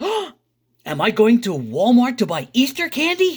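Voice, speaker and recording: Putting on a character voice, a man speaks at an extremely high pitch with very wide pitch swings and a moderate pace, on a very clean recording with a silent background. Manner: slow, dopey.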